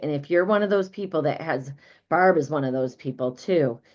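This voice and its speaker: A woman with a very deep, low pitch and ordinary pitch variation, at a moderate pace with a Midwestern American accent. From US Midwest. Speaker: business coach. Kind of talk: live online training. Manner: animated.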